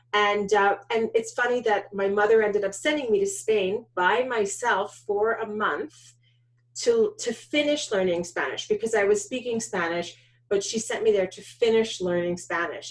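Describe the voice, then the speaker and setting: A woman speaks with a New York accent at a moderate pace. Her pitch is medium and varies in an ordinary way. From US Northeast, New York suburbs. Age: 40s. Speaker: documentary filmmaker. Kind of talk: interview.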